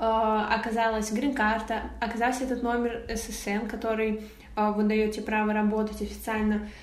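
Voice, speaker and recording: Audible room echo and noticeable background noise accompany the woman speaking here. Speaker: photographer. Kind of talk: interview. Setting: remote call.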